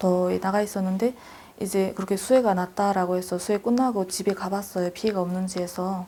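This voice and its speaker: The delivery is monotone and flat, fairly quick, and dark and mellow in tone. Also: woman. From North Korea, North Hamgyong. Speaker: North Korean defector, student. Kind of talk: interview.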